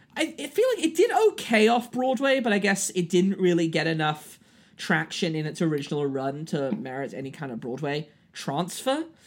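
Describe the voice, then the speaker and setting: With a British accent, a man talks at a moderate pace in a high pitch that swings very widely. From Britain. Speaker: podcast host and actor. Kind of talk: casual chat. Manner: animated.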